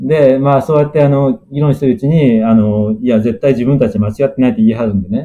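A man talks at a very fast pace with hardly any pauses. His voice is medium in pitch, dark and mellow in tone, with ordinary pitch variation. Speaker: planetary scientist. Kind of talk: interview. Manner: halting, many fillers.

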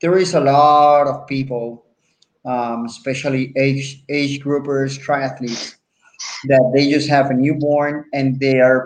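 Someone talks at a very slow pace in a Puerto Rican accent. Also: man. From Puerto Rico. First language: Spanish. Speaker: podcast host. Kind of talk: interview. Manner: animated.

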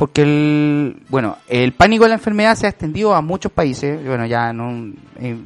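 This man barely pauses at all, keeping a moderate pace. His pitch swings very widely. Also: fairly high pitch for a man. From Chile. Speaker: podcast host. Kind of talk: casual chat.

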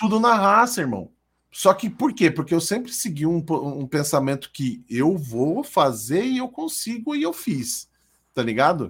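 Very wide pitch swings at a moderate pace, on a very clean recording with a silent background. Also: man. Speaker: streamer. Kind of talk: casual chat. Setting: live stream.

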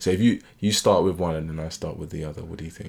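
Talking at a fairly quick pace, a man speaks with a very deep, low pitch. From UK, Caribbean family. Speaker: podcast co-host. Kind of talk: casual chat.

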